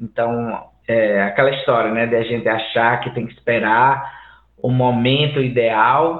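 Audible room echo surrounds a man who speaks at a medium pitch and a fairly slow pace with fairly even intonation. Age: 40s. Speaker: musician and game audio student. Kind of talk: casual chat.

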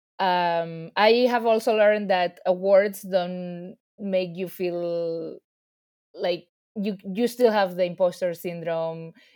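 A woman's medium-pitched voice in a Spanish accent, with fairly even intonation. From Spain, Ibiza. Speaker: filmmaker. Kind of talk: interview.

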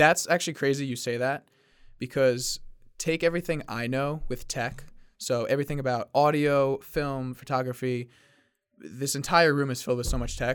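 In a very clean recording with a silent background, a man speaks in an ordinary speaking voice at a fairly high pitch, with fairly even intonation and a moderate pace. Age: 20s. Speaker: podcast host. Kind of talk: casual chat. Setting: studio.

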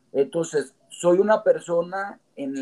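This man has a fairly high pitch. He speaks at a very slow pace. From Mexico, Comarca Lagunera (Gómez Palacio/Torreón/Lerdo). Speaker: entrepreneur and civic movement founder. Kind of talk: interview conversation.

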